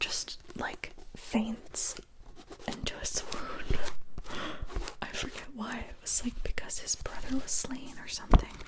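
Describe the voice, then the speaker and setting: A woman whispers at a fairly slow pace, with long, frequent pauses. Noticeable background noise runs underneath. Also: big swings in loudness. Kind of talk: ASMR whispered book chat. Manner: whispered, soft, rambling.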